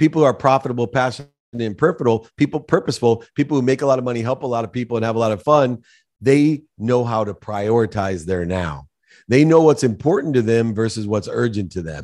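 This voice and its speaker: In a quiet background, a man at a medium pitch talks at a very fast pace with lively intonation. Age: 50s. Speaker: business executive and author. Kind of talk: interview.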